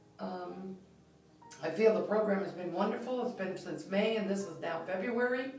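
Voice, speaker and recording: A woman speaks with lively intonation over background music, with audible echo in the room. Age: 60s. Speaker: retired nurse, patient. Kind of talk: testimony. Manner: halting.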